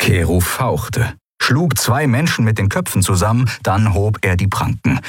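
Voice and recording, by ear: Over a quiet background, someone is reading aloud in a natural voice.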